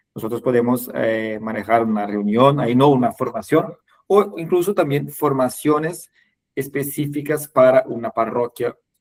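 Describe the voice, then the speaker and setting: In a Portuguese accent, a man with a medium pitch speaks at a moderate pace with lively intonation. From Brazil. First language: Portuguese (speaking Spanish). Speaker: webinar host, catechesis trainer. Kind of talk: online webinar closing remarks. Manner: halting, many fillers.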